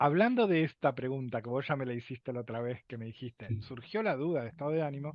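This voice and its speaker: This man speaks very fast. He barely stops for breath between words. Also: medium pitch for a man, ordinary pitch variation. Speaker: lecturer on emotions. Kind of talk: lecture. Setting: video call.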